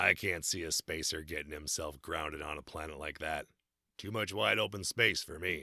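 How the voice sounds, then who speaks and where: A man puts on a raspy character voice, very deep and low. He speaks at a moderate pace on a very clean recording with a silent background. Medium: read story. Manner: blunt, gruff.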